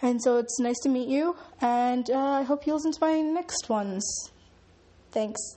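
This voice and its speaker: Speaking at a moderate pace, a woman with a high pitch keeps her loudness very even and uses ordinary pitch variation. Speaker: first-time podcaster. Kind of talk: casual monologue. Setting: home recording in echoey room. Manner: halting.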